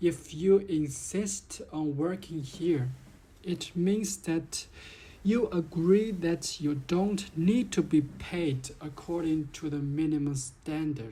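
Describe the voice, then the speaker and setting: Very slowly, a woman speaks in a fairly low, dark, mellow tone that is somewhat breathy and has ordinary pitch variation. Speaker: vlogger. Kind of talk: complaint monologue.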